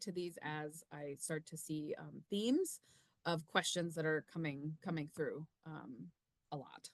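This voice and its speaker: Over a quiet background, a woman speaks fairly slowly with a very deep, low pitch in a dry sound with no echo. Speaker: university research administrator. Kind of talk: informational webinar presentation. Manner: hesitant, many filler ums. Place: home room. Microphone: webcam.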